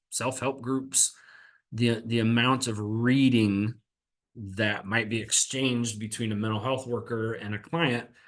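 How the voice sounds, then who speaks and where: A man speaks at a medium pitch with fairly even intonation against a quiet background. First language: American Sign Language. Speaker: mental health counselor and presenter. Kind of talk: webinar presentation. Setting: webinar.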